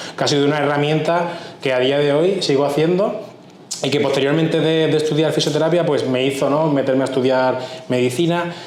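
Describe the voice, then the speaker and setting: Fairly quick and fairly high-pitched, a man talks with very even loudness and fairly even intonation amid audible room echo and noticeable background noise. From Andalusia, Huelva province (Spain). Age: 30s. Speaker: cardiologist. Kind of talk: interview.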